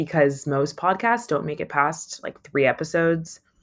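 At a moderate pace, a woman speaks with a low pitch.

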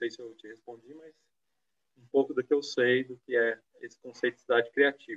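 Here a man talks at a moderate pace and medium pitch, in a monotone, flat intonation. His loudness swings widely. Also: dry, close sound with no echo. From Brazil, São Paulo state (Penápolis). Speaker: anthropologist, former culture official. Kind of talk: live-streamed panel discussion.

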